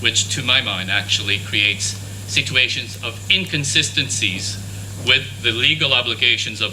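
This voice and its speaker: A man speaks with audible room echo. Noticeable background noise runs underneath. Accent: Quebec. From Canada, French-speaking region. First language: French. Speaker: conference speaker on international law. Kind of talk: conference presentation.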